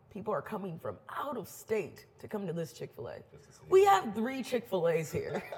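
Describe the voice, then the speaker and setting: Noticeable background noise sits under an animated tone with big swings in loudness and a moderate pace. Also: woman. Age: 20s. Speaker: DJ and event organizer. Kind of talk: casual chat.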